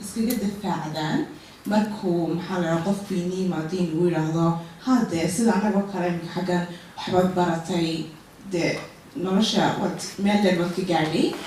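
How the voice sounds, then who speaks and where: Noticeable background noise runs under the recording. The speaker moves at a fairly quick pace. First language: Somali. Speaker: audience member asking question. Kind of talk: audience question.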